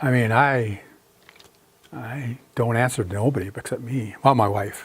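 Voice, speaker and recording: With an American accent, the speaker sounds somewhat breathy, using fairly even intonation at a fairly slow pace. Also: man, medium pitch for a man. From South Dakota, US. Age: 60s. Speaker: artist. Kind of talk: lecture with audience Q&A. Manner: casual, conversational.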